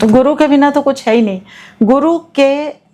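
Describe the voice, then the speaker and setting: A woman with a high voice speaks with ordinary pitch variation. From Himachal Pradesh, India. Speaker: astrologer. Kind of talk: interview.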